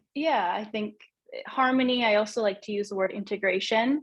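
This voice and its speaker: The speech moves at a moderate pace. Behind it, the background is quiet. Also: woman. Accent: Canadian. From Canada, Vancouver. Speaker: well-being coach. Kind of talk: casual interview chat.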